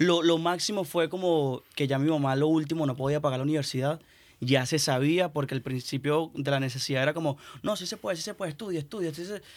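Speaking at a very fast pace, a man with a fairly high voice comes through on a very clean recording with a silent background. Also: ordinary pitch variation. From Venezuela. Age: young. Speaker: musician. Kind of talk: casual chat.

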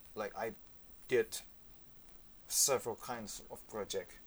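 A man with an Indonesian accent speaks at a very slow pace. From Indonesia, Yogyakarta. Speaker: saxophonist. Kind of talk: interview. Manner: halting.

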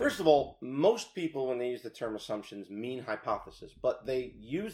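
This man has an unremarkable speaking voice, medium in pitch, with an American accent, lively intonation and a moderate pace. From New York, Rockland County. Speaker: business owner. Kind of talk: casual interview.

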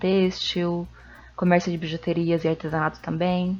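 A woman's fairly low voice stays monotone and flat in intonation, moving at a moderate pace. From Peru, Cusco. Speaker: podcast guest. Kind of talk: casual chat.

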